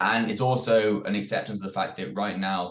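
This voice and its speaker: With a British accent, a man speaks in a fairly low pitch with ordinary pitch variation. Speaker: security executive. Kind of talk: webinar panel discussion.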